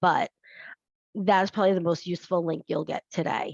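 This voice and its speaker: This woman's voice has a fairly low pitch and some vocal fry. The sound is dry and close, with no echo. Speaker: career and leadership coach. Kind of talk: live webinar presentation. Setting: video webinar from home office. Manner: animated.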